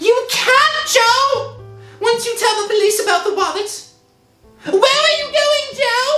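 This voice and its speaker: A woman uses a put-on character voice at an extremely high pitch and a fairly slow pace. There is slight echo and faint music in the background. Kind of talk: 1960s radio acting. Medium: old radio play.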